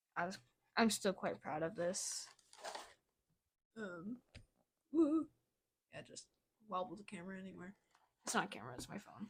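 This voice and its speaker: With lively intonation and vocal fry, a woman of medium pitch speaks at a moderate pace, leaving long, frequent pauses. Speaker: artist showing sketchbook. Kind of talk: casual vlog commentary. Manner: casual, hesitant with fillers.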